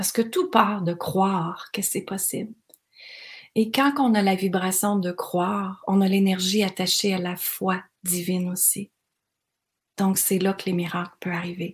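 In a very clean recording with a silent background, a somewhat breathy voice moves at a fairly slow pace with fairly even intonation and long, frequent pauses. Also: woman, medium pitch for a woman. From Quebec (Granby). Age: 40s. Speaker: life coach podcaster. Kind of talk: motivational monologue. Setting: cottage by the water.

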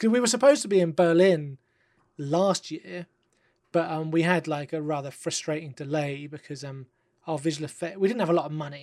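The recording is very clean, with a silent background. The speaker has a London accent. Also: fairly quick pace. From London, England. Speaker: film director. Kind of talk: podcast interview.

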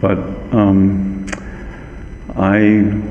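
Against noticeable background noise and audible room echo, a man speaks with a very deep, low pitch. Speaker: medical geneticist. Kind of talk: interview. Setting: hotel conference room, live recording.

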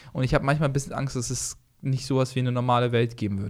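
Over a silent background in a very clean recording, a man talks at a very fast pace. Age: 20s. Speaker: comedian and podcast co-host. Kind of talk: casual chat.

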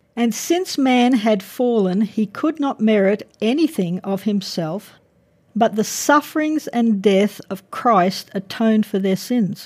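A woman with an Australian accent speaks at a fairly slow pace in a somewhat breathy, fairly high voice with lively intonation. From Brisbane, Australia. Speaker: university professor. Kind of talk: lecture-style interview.

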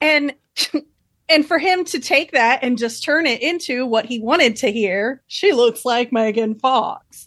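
This woman has a high voice and lively intonation. She speaks at a fairly slow pace over a quiet background. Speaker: co-host guest. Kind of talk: casual chat.

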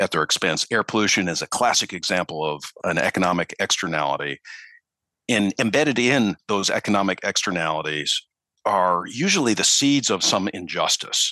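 With a Midwestern US accent, a man speaks at a moderate pace in a fairly low pitch and a bright, sharp tone, the sound dry and close with no echo over a quiet background. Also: lively intonation, very even loudness. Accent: Midwestern US, non-Southern. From Minneapolis, US Midwest. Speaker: newspaper reporter. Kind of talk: interview conversation. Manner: hesitant, repeats words.

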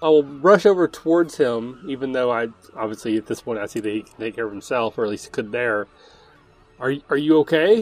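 With an ordinary speaking voice, a man talks at a fairly quick pace and a medium pitch, his intonation lively and his loudness swinging widely. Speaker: player. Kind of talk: tabletop roleplaying game, in-character narration.

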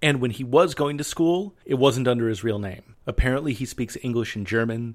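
An unremarkable speaking voice from a man, medium in pitch, with ordinary pitch variation and a moderate pace. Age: 30s. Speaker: history podcast host. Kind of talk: scripted narration.

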